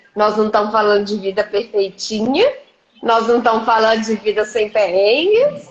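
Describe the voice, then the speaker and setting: A woman with a Minas Gerais accent, fairly high in pitch, monotone and flat at a moderate pace. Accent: Minas Gerais (mineiro). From Minas Gerais, Brazil (Governador Valadares). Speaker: leadership mentor and coach. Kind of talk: live-stream interview. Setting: live video stream.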